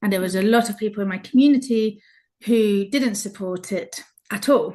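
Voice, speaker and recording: Against a quiet background, a woman with a somewhat breathy, medium-pitched voice speaks at a fairly slow pace. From Basque Country, Spain, British parents. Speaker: travel blogger. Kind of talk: interview chat.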